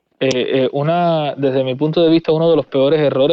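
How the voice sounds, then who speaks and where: A man of fairly high pitch in a Cuban accent at a very fast pace. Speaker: firearms content creator. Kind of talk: casual interview.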